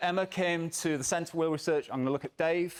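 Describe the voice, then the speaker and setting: A man speaks with a British accent at a high pitch. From England. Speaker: academic researcher. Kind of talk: conference talk. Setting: stage with audience.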